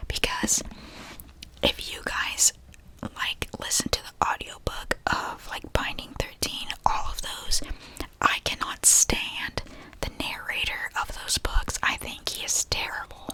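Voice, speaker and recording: Someone whispers in a relaxed tone at a very slow pace. Noticeable background noise sits behind the voice. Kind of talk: ASMR book review / reading wrap-up, rambling to camera. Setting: ASMR recording with tapping sounds. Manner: whispered, relaxed.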